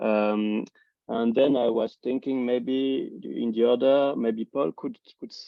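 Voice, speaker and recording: A man's medium-pitched voice with a non-native accent, fairly even intonation and a very slow pace. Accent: noticeable non-native. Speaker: philosophy academic, symposium organizer. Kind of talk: academic seminar presentation. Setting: video call. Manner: halting, many fillers and restarts.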